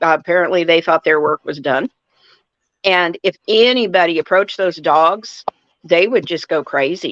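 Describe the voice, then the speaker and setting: A woman with an unremarkable speaking voice talks at medium pitch in a dry, close sound with no echo. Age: 60s. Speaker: livestreamer. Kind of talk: casual chat. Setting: live stream.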